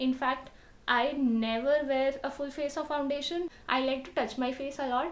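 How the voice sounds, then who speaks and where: Someone soft-spoken talks amid noticeable background noise and audible room echo. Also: woman. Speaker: beauty vlogger. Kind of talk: tutorial.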